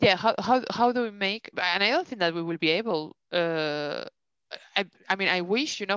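A woman with a Spanish accent and ordinary pitch variation, dry, close sound with no echo, and a quiet background. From Spain. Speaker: podcast co-host. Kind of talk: casual chat. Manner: animated.

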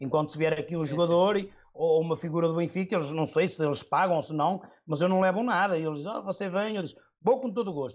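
Very rapid speech from a man, high-pitched, with normal pitch movement. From northern Portugal, Trofa area. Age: 40s. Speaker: football superfan and firefighter. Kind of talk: casual interview chat.

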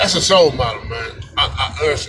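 A man keeps a moderate speed, his voice carrying audible room echo amid noticeable background noise. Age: 50s. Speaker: podcast host. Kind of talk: casual monologue. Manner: animated.

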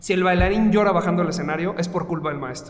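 A man with a Mexican accent and high pitch, talking at a very fast pace amid noticeable background noise and audible room echo. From Mexico. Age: 30s. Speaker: dance teacher and studio owner. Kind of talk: interview.

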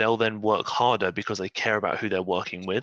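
Against a quiet background, a man with an English accent speaks at a fairly quick pace, his medium-pitched voice bright and sharp in tone, with ordinary pitch variation and a dry, close sound with no echo. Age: 20s. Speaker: fitness professional. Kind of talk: casual chat.

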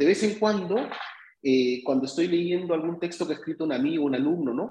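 Vocal fry runs through a man's fairly high voice. His pitch makes very wide swings. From Peru. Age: 50s. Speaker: playwright. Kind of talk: casual chat.

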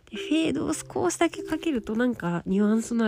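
Noticeable background noise runs beneath speech at a fairly quick pace. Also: woman. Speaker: beauty writer, podcast host. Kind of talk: casual solo talk. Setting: lying on futon while recording. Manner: relaxed, calm when lying down.

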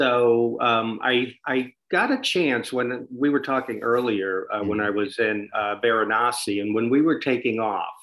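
At a moderate pace and medium pitch, a man talks with fairly even intonation and hardly any pauses. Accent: American. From USA. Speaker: adventurer and author. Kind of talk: interview. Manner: halting.

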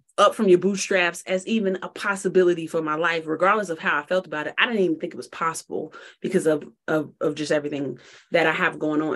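A woman with an unremarkable speaking voice talks at a fairly low pitch with ordinary pitch variation. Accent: American. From Chicago. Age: 30s. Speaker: tech startup founder and CEO. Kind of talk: podcast interview.

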